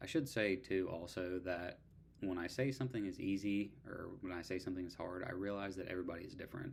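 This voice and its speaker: A man speaks quietly at a very fast pace. His very deep, low voice shows ordinary pitch variation. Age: 30s. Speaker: online student vlogger. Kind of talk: casual vlog. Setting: at home at night.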